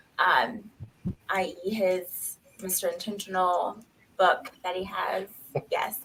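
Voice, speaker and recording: Using an American accent, a woman speaks at a very slow pace in a medium pitch, with fairly even intonation and long, frequent pauses. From US South, Knoxville, Tennessee. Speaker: nurse. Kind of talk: casual interview chat.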